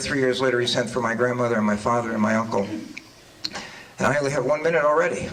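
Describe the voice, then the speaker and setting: Against noticeable background noise and audible room echo, a man speaks at a medium pitch with ordinary pitch variation. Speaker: political candidate. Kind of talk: candidate forum opening statement. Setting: public forum with audience. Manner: halting.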